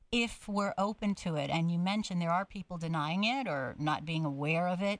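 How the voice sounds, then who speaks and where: A woman's medium-pitched, normal speaking voice, a normal speaking voice at a fairly quick pace with ordinary pitch variation. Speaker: radio host. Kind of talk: radio interview.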